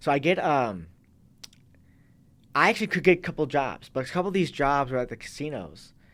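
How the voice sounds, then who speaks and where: There is vocal fry in this man's fairly high voice as he talks with an American accent, lively intonation and a fairly quick pace, broken by long, frequent pauses. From US Midwest, Racine, Wisconsin. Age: 30s. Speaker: Marine veteran and fitness coach. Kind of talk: casual interview chat. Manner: halting, many false starts.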